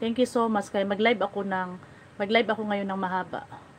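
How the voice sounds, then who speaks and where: At a fairly quick pace, a woman speaks in a somewhat breathy voice with fairly even intonation over light background noise. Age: 40s. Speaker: lifestyle vlogger. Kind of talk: livestream chat. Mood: reflective, personal. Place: home room. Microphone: phone near.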